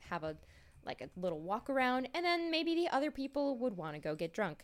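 A woman talks at a fairly quick pace. The recording is very clean, with a silent background. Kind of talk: casual chat. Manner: fast talker.

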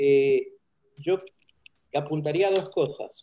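A man's fairly high voice, dark and mellow in tone, at a very slow pace with ordinary pitch variation. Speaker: communication professor. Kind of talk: interview.

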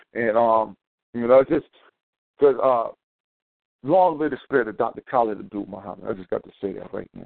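A man talks at a fairly quick pace and medium pitch, with lively intonation. Long, frequent pauses break up his speech. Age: 30s. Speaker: radio call-in host. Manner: energetic, informal, warm.

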